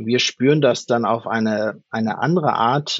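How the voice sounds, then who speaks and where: A man talks at medium pitch and a moderate pace, his pitch varying in an ordinary way. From Germany. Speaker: leadership coach. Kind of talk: interview. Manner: hesitant, many fillers.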